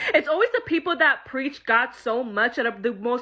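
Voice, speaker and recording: Raised and projected, a woman's high-pitched voice sounds bright, sharp and animated, with ordinary pitch variation. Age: 20s. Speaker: podcast host. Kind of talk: casual monologue.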